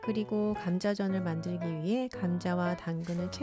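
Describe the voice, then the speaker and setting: A woman speaks at a moderate pace in a calm, gentle tone, her pitch fairly low, with music playing in the background. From South Korea. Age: 40s. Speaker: homemaker. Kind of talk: vlog voice-over narration.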